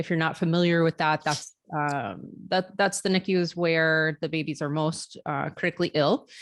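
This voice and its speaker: A woman with a slight Chicago accent talks at a moderate pace against a quiet background. Her fairly low voice keeps a fairly even intonation. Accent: slight Chicago-area. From Florida, US. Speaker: neonatal nurse practitioner and nursing professor. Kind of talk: interview. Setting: video call.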